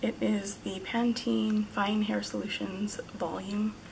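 A woman talks with clear background noise audible in the recording. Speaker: beauty vlogger. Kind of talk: casual talk to camera. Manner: hesitant, many fillers. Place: home room. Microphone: phone near.

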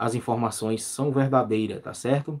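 The man's pitch varies in an ordinary way, and the background is quiet. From Brazil, Pernambuco. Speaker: youtuber, news commentary channel host. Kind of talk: live stream commentary. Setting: live stream. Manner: frequent filler words and repetitions. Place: home room. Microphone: phone near.

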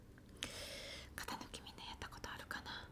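Whispering, a woman keeps to a fairly slow pace. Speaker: ASMR channel host. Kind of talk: soft casual vlog chat. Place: home room. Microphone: studio mic.

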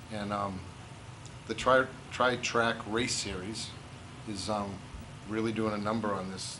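Amid noticeable background noise, a man talks at a fairly slow pace in a fairly low, flat, monotone voice. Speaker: guest. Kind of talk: interview answer. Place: hall. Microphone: camera far.

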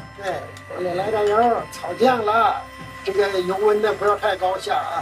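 The speech moves at a fairly slow pace. Clear music plays in the background. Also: man, high pitch for a man. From northern China. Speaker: chef. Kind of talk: cooking demonstration. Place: kitchen.

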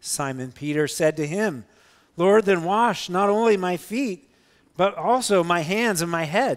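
A man at a fairly slow pace, quiet background. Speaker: pastor. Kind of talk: scripture reading in a sermon. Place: church.

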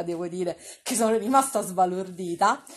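A woman talks at a fairly quick pace in an animated tone, her voice somewhat breathy. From Rome. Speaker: online streamer and TV gossip commentator. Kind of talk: casual live-stream chat.

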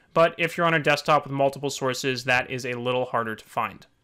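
Against a quiet background, a man talks at a fairly quick pace. His tone is bright and sharp, his intonation fairly even. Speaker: software tutorial maker. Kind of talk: tutorial. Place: home room.

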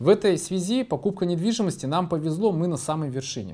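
A man with a fairly high, dark, mellow voice talks at a fairly quick pace. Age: 40s. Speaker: business executive. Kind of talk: conference presentation. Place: meeting room. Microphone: studio mic.

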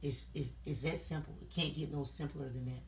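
In a room with audible echo, a woman with a low-pitched voice talks at a fairly quick pace and keeps her intonation fairly even.

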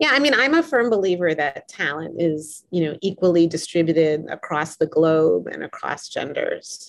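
A woman talks at a moderate pace with hardly any pauses. The background is quiet. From US, Boston. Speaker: professor. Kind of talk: interview. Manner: hesitant, filler words. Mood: warm, smiling. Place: home room. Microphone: webcam.

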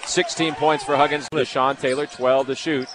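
A man talks over noticeable background noise. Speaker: sports commentator. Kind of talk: live basketball play-by-play commentary. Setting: game broadcast over highlight video. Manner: fast, animated, excitable play-by-play delivery; rapid-fire, clipped calls of each possession.

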